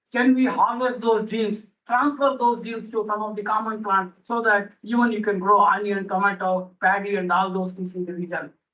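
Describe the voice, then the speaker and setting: A man speaks at a high pitch in a raised, projected voice. His intonation is fairly even. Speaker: botany professor. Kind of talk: conference lecture. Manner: fast.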